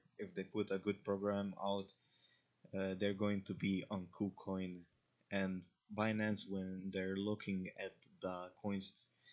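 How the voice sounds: In an Eastern European accent, a man talks at a slow pace. His pitch is low and his intonation monotone and flat. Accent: Slavic.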